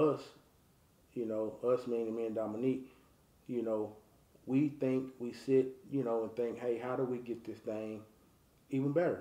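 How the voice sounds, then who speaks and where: A man with an American accent, medium pitch, dark, mellow tone, fairly even intonation, moderate pace and audible room echo. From Texas, North Dallas; Texas. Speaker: race promoter. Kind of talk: interview. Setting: at home. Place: home room.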